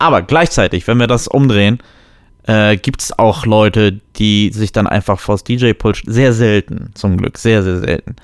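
A man uses a normal speaking voice, fairly low in pitch, at a fairly slow pace. The recording is very clean, with a silent background and a dry, close sound with no echo. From Germany. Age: 30s. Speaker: podcast co-host. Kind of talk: casual chat.

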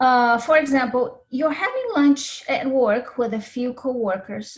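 This woman speaks with a Brazilian accent and a fairly high pitch. Her pitch varies in an ordinary way.

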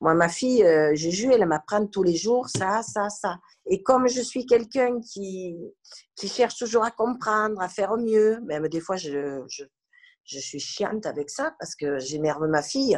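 At a fairly slow pace, a woman speaks at a medium pitch with very wide pitch swings and big swings in loudness. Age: 60s. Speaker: grandmother and carer. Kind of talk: testimony.

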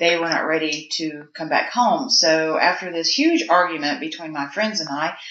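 Talking at a moderate pace, a woman has a Southern US accent, a fairly low pitch and ordinary pitch variation. Room echo is audible. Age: 40s. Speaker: mortician. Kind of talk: casual interview. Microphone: poor sound quality.

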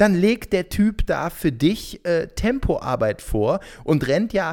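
A man talks in an animated tone, captured in a very clean recording with a silent background. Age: 30s. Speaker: TV reporter and hobby runner. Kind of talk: casual chat. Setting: at home on his couch. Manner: animated, laughs often.

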